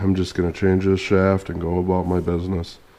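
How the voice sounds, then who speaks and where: A man's very deep, low voice at a fairly quick pace, in a monotone, flat intonation. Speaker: tractor mechanic / DIY video creator. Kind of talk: tutorial. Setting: workshop.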